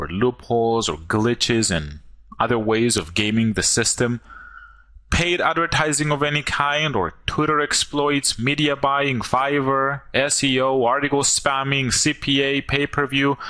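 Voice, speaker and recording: Speaking with a non-native accent, a man talks at a fairly slow pace with a fairly high pitch, ordinary pitch variation, a bright, sharp tone, and very even loudness. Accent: foreign accent, self-described as goofy. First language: not English. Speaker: online marketer. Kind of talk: sales pitch. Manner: animated.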